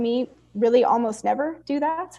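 Against a quiet background, a woman talks in a high pitch with ordinary pitch variation. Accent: Californian. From US West Coast, East Oakland, California. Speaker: anti-racism coach and activist. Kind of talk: interview.

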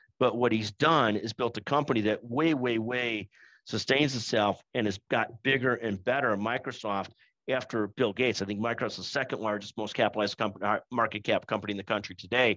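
With a bright, sharp tone and medium pitch, a man talks at a fairly quick pace and with fairly even intonation over a quiet background. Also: dry, close sound with no echo. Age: 50s. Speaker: business executive. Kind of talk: webinar presentation. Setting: online webinar. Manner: repetitive stammering starts.

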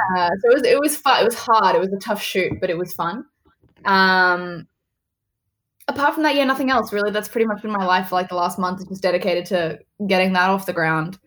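A woman speaks at a fairly quick pace, her medium-pitched voice carrying lively intonation. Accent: Australian. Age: 20s. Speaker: actress. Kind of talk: casual interview.

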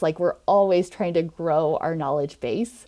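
A dark, mellow tone comes with an American accent at a moderate pace. The recording is very clean, with a silent background. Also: woman. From Nebraska, US Midwest. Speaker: occupational therapist and online community founder. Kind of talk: interview.

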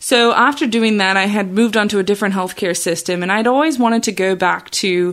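In an American accent, a woman with an ordinary speaking voice and medium pitch talks at a fairly quick pace with ordinary pitch variation and hardly any pauses. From Australia, then Chicago suburbs from age 15. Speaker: nurse practitioner and podcast host. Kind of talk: solo podcast monologue. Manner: casual with frequent fillers.

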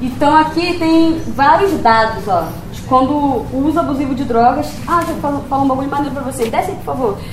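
A woman speaks at a fairly quick pace in an animated tone with a high pitch, over noticeable background noise. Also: ordinary pitch variation. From Rio de Janeiro. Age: 20s. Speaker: poet and rapper. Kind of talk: talk to university class. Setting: auditorium with audience and microphone.

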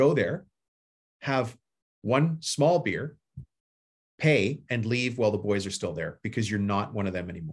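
A man talks at medium pitch and a moderate pace with lively intonation. He leaves long, frequent pauses. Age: 50s. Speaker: home service business coach and contractor. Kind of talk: casual interview. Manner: plain everyday talk.

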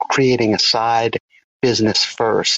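A man with an American accent talks at a fairly slow pace. His is an ordinary speaking voice at medium pitch. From US South, southeast Louisiana. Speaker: caller, GIS professional and hobby drone pilot. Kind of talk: recorded listener question.

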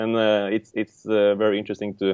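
A man with a Norwegian accent, at a moderate pace. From Norway. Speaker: board game designer. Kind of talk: casual interview chat.

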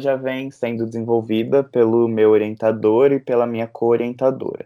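This is a man speaking at a medium pitch. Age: 20s. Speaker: psychology student and researcher. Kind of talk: podcast interview.

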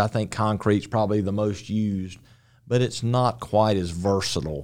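A man talks in a plain, everyday voice, fairly low in pitch with ordinary pitch variation. The pace is moderate, and the recording is very clean with a silent background. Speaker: mason company owner. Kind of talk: casual interview.

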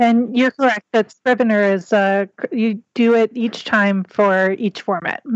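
A woman with a fairly high pitch speaks at a fairly slow pace in a plain, everyday voice, her intonation fairly even and her loudness very even. The sound is dry and close, with no echo. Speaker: indie author. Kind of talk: panel discussion.

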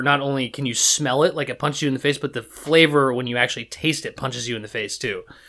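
In an American accent, the voice has a bright, sharp tone and ordinary pitch variation. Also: man. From US Pacific Northwest, Seattle. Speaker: podcast guest. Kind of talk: casual chat.

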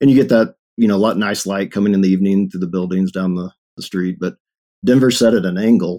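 Speaking very fast in a Texan accent, a man with a fairly low pitch and a dark, mellow tone shows ordinary pitch variation in a dry, close sound with no echo. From East Texas (Longview). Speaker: web developer and street photographer. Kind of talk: casual interview chat.

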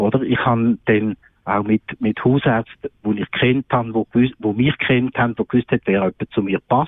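This man speaks at a medium pitch and a moderate pace, with fairly even intonation. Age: 60s. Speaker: psychiatrist. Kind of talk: radio interview. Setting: remote call-in from holiday. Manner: hesitant, many fillers.

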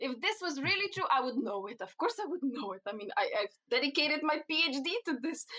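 In a Slovenian accent, a woman with a high pitch speaks in a raised, projected voice at a fairly quick pace, with very wide pitch swings and hardly any pauses. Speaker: cannabinoid researcher. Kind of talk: interview. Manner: halting.

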